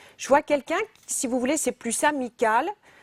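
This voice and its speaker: Here a woman speaks in a high pitch with lively intonation. Her pace is fairly slow, and the sound is dry and close with no echo. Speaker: psychic medium. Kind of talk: live phone-in psychic reading. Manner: halting, many repetitions; direct.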